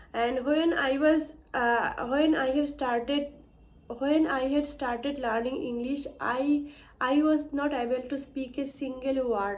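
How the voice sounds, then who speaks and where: A woman with a high pitch speaks at a very slow pace with fairly even intonation. Room echo can be heard. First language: Bengali. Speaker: English learner vlogger. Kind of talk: personal story vlog. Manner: halting, many fillers and restarts.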